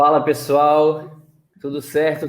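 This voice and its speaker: A man in a Pernambuco accent at a very slow pace. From Recife, Pernambuco, Brazil. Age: young. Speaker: reality show contestant and speaker. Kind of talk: casual interview.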